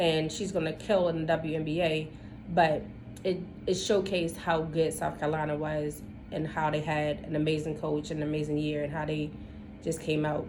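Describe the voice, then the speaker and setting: A woman with an American accent speaks at a very deep, low pitch and a moderate pace. Her intonation is monotone and flat, with audible room echo. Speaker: podcast co-host. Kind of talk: casual chat.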